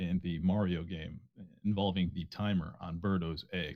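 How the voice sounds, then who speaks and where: At a moderate pace, a man talks in a very deep, low pitch with ordinary pitch variation. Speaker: esports tournament commentator. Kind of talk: live commentary.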